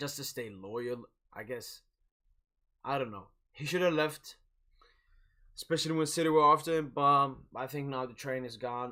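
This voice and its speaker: Speaking with a non-native accent, a man has a medium pitch, a bright, sharp tone, ordinary pitch variation and a moderate pace. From Sweden. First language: not English. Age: 20s. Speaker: football streamer. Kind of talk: live watch-along commentary and chat. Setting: live stream. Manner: casual, hesitant with repetitions.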